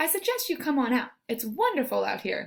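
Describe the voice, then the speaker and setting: A woman's put-on character voice, high in pitch with very wide pitch swings, at a fairly quick pace. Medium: read story. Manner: fast, repeats phrases.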